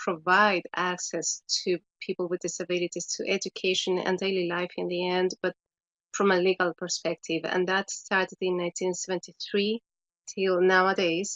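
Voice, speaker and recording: At a moderate pace, a woman speaks with a medium pitch and monotone, flat intonation. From Chile. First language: Spanish. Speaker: education specialist. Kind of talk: webinar presentation. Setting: online webinar.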